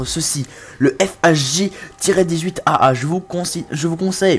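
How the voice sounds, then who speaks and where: A woman with a fairly low pitch and ordinary pitch variation, music in the background. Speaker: gaming commentator. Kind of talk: comedic gameplay tutorial. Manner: animated.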